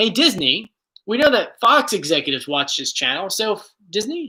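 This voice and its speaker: This man projects a raised voice with a high pitch and a bright, sharp tone. His delivery is animated, with very wide pitch swings at a moderate pace. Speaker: YouTuber answering viewer questions. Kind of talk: casual Q&A chat.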